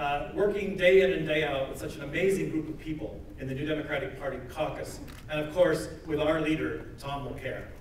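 A man's fairly high, fairly even voice at a fairly quick pace with hardly any pauses, plus audible room echo and light background noise. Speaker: member of parliament. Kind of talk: rally speech. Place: hall. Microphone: camera far.

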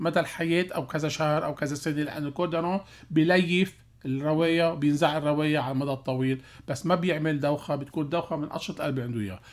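Speaking very fast, a man sounds animated, his pitch varying in an ordinary way. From Lebanon. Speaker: cardiologist; guest. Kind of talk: radio health call-in show. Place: studio. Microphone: studio mic.

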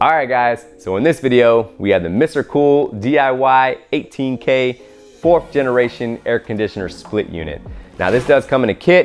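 Faint background music under a man talking at a moderate pace. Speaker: DIY video creator. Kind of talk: tutorial. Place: garage.

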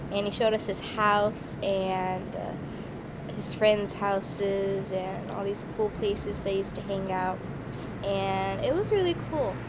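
A woman talks at a fairly slow pace while loud background noise fills the recording. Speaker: vlogger. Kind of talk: casual vlog chat. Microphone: phone near.

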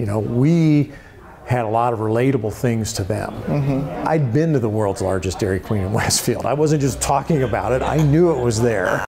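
Noticeable background noise sits behind a man with an American accent who speaks with ordinary pitch variation. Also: moderate pace. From Indiana, USA. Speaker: former TV sports anchor and radio character actor. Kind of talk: interview answer. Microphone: lapel.

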